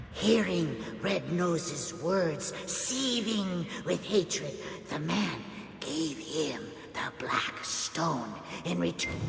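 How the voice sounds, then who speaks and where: A put-on character voice at a middle pitch and a very slow pace, with slight echo and loud background noise. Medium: machinima. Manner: excitable, exclamatory.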